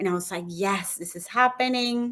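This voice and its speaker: Against a quiet background, a woman with a non-native accent speaks at a moderate pace with ordinary pitch variation. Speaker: human rights attorney. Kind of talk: personal testimony in interview.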